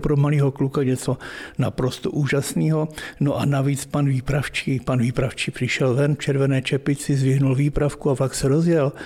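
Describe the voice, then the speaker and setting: A fairly high male voice, flat and monotone, at a moderate pace with very even loudness. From eastern Bohemia, Czech Republic (Chrudim area). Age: 70s. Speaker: retired railway worker, museum founder. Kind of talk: casual interview, guided museum tour. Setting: in his private railway museum. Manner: talkative, chatty.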